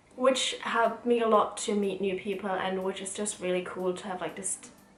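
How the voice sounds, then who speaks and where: With a German accent, a woman speaks with fairly even intonation over noticeable background noise. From Germany. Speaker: student and vlogger. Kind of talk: casual Q&A vlog.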